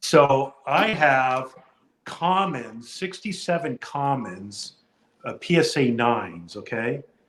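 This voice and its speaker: Here a man speaks at a very slow pace with a fairly high pitch. His intonation is lively. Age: 60s. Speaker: card collector and video creator.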